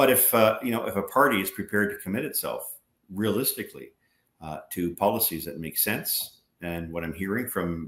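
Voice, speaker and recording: With a Canadian accent and a normal speaking voice, a man talks at a moderate pace, fairly low in pitch, with ordinary pitch variation. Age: 60s. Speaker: former politician, energy advocacy group president. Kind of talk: interview.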